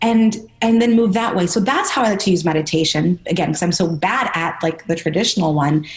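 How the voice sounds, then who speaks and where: The woman's voice sits at a medium pitch and is somewhat breathy. Her pitch varies in an ordinary way. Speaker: personal trainer. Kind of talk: interview. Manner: fast.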